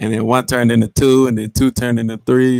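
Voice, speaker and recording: The speaker has an American accent and talks at a fairly quick pace. The sound is dry and close, with no echo. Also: man. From Texas, Houston. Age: 20s. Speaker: podcast host. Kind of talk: casual monologue on live stream. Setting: live stream. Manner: hesitant, many fillers and repetitions.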